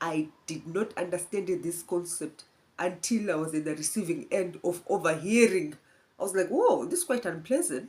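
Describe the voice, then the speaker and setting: A woman with a fairly low pitch speaks at a moderate pace. Her pitch varies in an ordinary way. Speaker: nurse. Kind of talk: educational talk. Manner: animated.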